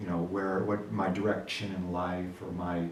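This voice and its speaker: A man speaks at a fairly slow pace, with audible room echo and noticeable background noise around him. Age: young. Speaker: guest, longtime friend of the host. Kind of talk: casual chat.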